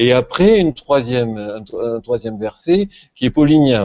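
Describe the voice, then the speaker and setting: Speaking in a southern French accent, a man goes at a moderate pace. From southern France. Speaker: religion scholar. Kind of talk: panel discussion. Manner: hesitant, many fillers.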